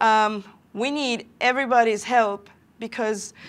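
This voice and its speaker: Over a very clean recording with a silent background, a woman with a Venezuelan accent speaks at a fairly high pitch and with fairly even intonation. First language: Spanish. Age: 30s. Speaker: software developer and conference speaker. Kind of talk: conference talk. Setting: stage with live audience. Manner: hesitant, many fillers.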